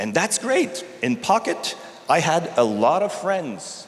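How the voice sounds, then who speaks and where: A man with a Canadian accent and a high pitch speaks amid noticeable background noise and audible room echo. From Canada. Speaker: technology executive. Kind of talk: conference talk.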